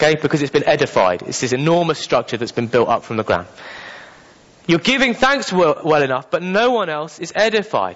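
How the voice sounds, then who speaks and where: Speaking with a British accent, a man uses a fairly high pitch that swings very widely. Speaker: preacher. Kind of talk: sermon. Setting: church.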